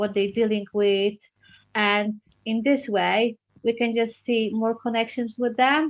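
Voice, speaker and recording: With a Polish accent, a woman speaks at a moderate pace in a fairly high voice, her intonation fairly even. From Poland. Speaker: children's book author. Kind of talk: interview. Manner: halting.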